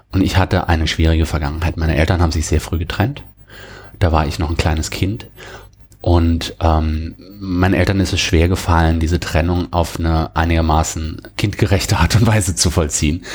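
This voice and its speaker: At a moderate pace, a man speaks with very deep, low pitch and fairly even intonation. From Germany, near the French border. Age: 40s. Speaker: software and cloud specialist. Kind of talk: interview about personal burnout experience. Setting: studio, sitting across from the host.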